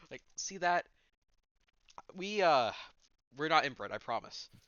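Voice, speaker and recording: With vocal fry, a man speaks at a moderate pace and a fairly high pitch. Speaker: amateur video maker doing mock director commentary. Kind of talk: casual jokey chat. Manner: loud, animated.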